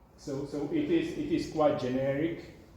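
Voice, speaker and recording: Noticeable background noise and audible room echo accompany a man speaking with a non-native accent. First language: not English. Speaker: software developer and author. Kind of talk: talk and Q&A at a meetup. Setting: meetup with live audience. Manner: halting, many fillers and repetitions.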